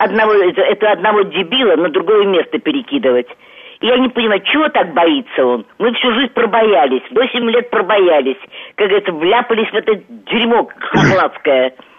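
A woman's medium-pitched voice at a moderate pace, with very wide pitch swings, very even loudness, and noticeable background noise. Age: 70s. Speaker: radio caller. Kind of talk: call-in question. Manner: agitated.

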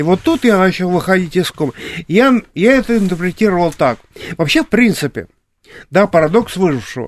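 Speaking at a moderate pace with long, frequent pauses, a man with a high voice uses lively intonation in a dry, close recording with no echo. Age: 60s. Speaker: artist and drawing teacher. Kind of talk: interview. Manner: halting.

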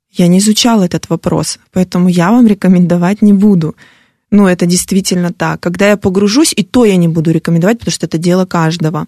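A woman has a normal speaking voice at medium pitch with fairly even intonation. The sound is dry and close, with no echo. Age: 40s. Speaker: fitness blogger and motivational coach. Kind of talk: radio interview. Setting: radio studio.

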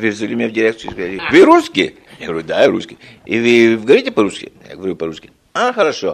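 Loudness swings in big jumps as a man rattles off his words at a very fast pace. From Belgium. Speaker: retired engineer. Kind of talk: interview. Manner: halting.

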